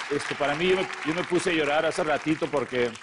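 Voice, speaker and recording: Fairly quick speech with ordinary pitch variation over crowd noise in the background. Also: man. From San Diego, California. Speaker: border humanitarian activist. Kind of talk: TV interview. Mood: earnest, emotional at end. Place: studio. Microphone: lapel.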